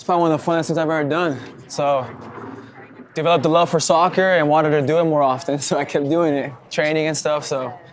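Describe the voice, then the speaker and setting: Noticeable background noise sits behind a man who talks at a very fast pace in a fairly high pitch. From Mexico, Chihuahua (Parral), raised in Albuquerque from age seven. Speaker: professional soccer player. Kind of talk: casual interview.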